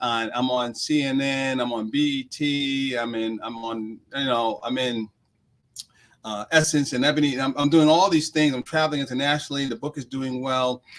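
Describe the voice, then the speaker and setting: Moderately paced, a man speaks at a medium pitch with fairly even intonation. He has an unremarkable speaking voice. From New York (Queens). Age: 50s. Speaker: executive coach and author. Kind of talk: interview.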